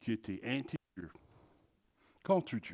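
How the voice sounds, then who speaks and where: This man's voice has a dark, mellow tone. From Texas. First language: English (speaking French). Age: 60s. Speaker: pastor. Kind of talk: sermon. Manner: halting, repeats words.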